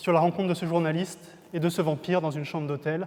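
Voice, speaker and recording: A man talks at a very fast pace. His intonation is flat and monotone. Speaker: novelist. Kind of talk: introduction to a reading, talk to camera.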